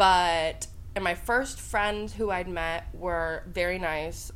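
A woman with an American accent talks at a very slow pace. Audible room echo surrounds her voice. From US Midwest, Columbus, Ohio. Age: 20s. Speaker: college student. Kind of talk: casual interview.

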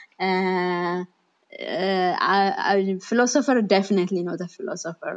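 This woman talks at a fairly slow pace, her medium-pitched voice keeping a fairly even intonation. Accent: Ethiopian. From Ethiopia, Bahir Dar. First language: Amharic. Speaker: AI researcher. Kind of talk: interview. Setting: online audio room.

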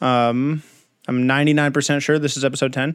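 A man with an American accent and an ordinary speaking voice, at a fairly quick pace with fairly even intonation. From Southern California. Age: 20s. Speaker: podcast host. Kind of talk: casual interview chat.

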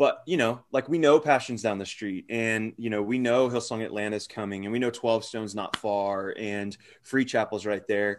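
An ordinary speaking voice with an American accent, moderate pace, and ordinary pitch variation over a quiet background. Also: man. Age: 30s. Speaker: youth pastor. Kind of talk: casual interview.

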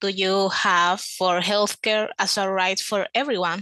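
This woman has a bright, sharp tone and a medium pitch, speaking at a fairly slow pace. The sound is dry and close with no echo, over a quiet background. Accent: non-native. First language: not English. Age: young. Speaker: podcast interviewer. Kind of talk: interview. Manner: giggly.

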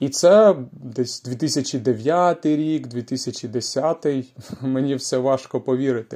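A dark, mellow tone with ordinary pitch variation, on a very clean recording with a silent background. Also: man. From Ukraine. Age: 30s. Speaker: language-learning podcaster. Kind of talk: slow podcast monologue for learners. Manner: slow, clear.

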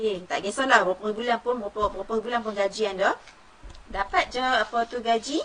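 A woman talks at a fairly quick pace in a fairly high pitch. Her intonation stays fairly even over noticeable background noise. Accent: Malaysian. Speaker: former pharmacist, gold-savings educator. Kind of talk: live-stream talk on Facebook. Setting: home studio live stream. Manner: casual, chatty.

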